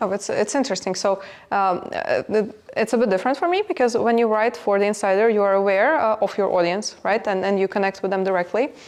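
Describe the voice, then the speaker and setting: A woman talks at a very fast pace with a non-native accent. Her pitch varies in an ordinary way, and her loudness stays very even. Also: medium pitch for a woman. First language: not English. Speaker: business executive. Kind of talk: podcast interview. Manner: halting, many fillers.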